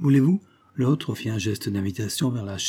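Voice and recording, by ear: Someone is reading aloud in a natural voice.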